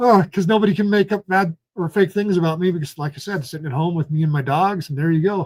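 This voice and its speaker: A man's high-pitched voice at a very fast pace, with ordinary pitch variation and hardly any pauses. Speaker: citizen journalist and political candidate. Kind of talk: live stream commentary. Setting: at home. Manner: animated.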